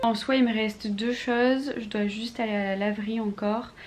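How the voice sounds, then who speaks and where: Amid noticeable background noise and audible room echo, a woman with a fairly high pitch speaks at a fairly slow pace. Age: 20s. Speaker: vlogger. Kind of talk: vlog.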